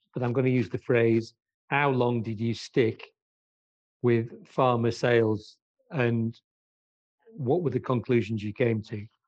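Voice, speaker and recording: Long, frequent pauses break up a man's fairly slow speech, delivered with fairly even intonation. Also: medium pitch for a man. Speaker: sports business interviewer. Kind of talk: interview.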